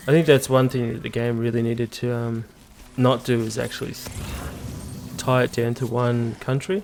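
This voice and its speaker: With an Australian accent, a man speaks at a medium pitch and a moderate pace, his intonation fairly even and his pauses long and frequent, over noticeable background noise. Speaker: gaming YouTuber. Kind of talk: let's play commentary. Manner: hesitant, many fillers.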